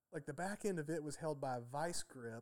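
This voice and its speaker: A man with a plain, everyday voice talks at a moderate pace and a fairly high pitch. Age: 30s. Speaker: artist and packaging engineer. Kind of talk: casual chat.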